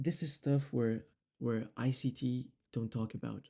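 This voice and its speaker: With a non-native accent, a man speaks at a medium pitch in a dark, mellow tone with fairly even intonation. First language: not English. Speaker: trading educator. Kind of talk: tutorial. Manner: casual, many fillers.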